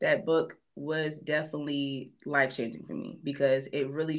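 Vocal fry from a woman with a very deep, low pitch, at a fairly slow pace. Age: 30s. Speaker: podcast host. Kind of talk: casual chat.

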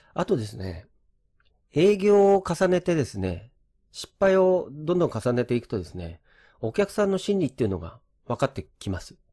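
Somewhat breathy and fairly high in pitch, a man's voice shows very wide pitch swings and big swings in loudness, recorded very cleanly with a silent background and a dry, close sound with no echo. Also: moderate pace. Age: 50s. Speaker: real estate agent and former programmer. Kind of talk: lecture. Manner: casual with many fillers.

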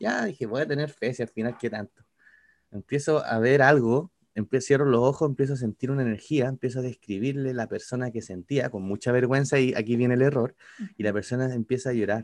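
A man with a Chilean accent speaks in a medium pitch. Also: ordinary pitch variation, fairly quick pace, quiet background. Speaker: podcast co-host. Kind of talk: casual chat.

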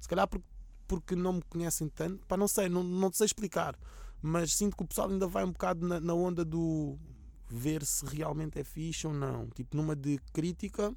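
At a moderate pace, a man with a high voice talks with ordinary pitch variation. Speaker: rapper. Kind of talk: casual interview.

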